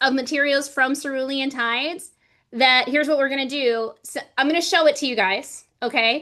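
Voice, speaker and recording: In an American accent, a woman speaks at a moderate pace in a raised, projected voice with a bright, sharp tone against a quiet background. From US South (Georgia and Florida). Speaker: livestream host and laser business creator. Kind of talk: livestream chat. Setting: livestream video call. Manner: animated.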